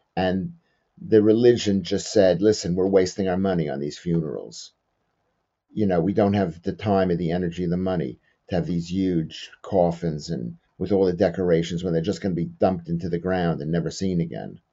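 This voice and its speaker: Talking at a fairly quick pace in a New York accent, a man with a very deep, low pitch shows ordinary pitch variation. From US, New York. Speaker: comedian. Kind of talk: interview about personal loss.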